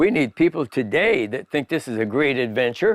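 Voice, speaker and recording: A man's voice swings very widely in pitch, recorded with a dry, close sound and no echo. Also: very clean recording, silent background. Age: 80s+. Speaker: riverboat builder. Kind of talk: casual chat.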